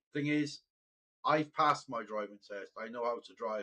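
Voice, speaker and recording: A man's fairly high-pitched voice with a Welsh accent. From Wales. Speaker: gaming live streamer. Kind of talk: casual chat. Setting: live stream with headset. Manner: repetitive, halting.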